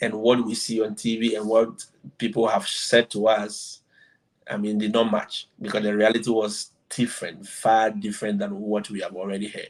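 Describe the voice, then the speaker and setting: A man talks with an African accent at a moderate pace. His intonation is monotone and flat. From Ghana. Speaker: exchange teacher. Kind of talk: interview.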